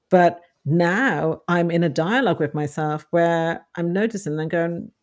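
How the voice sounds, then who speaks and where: A woman's fairly low-pitched, ordinary speaking voice at a moderate pace, on a very clean recording with a silent background. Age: 40s. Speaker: author and self-help blogger. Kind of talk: interview.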